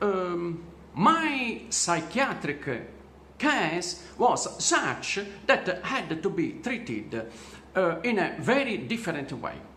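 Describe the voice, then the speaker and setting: Very wide pitch swings from a man, with audible room echo and clear background noise. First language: not English. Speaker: vlogger telling his own story. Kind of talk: personal testimony monologue. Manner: halting, many fillers.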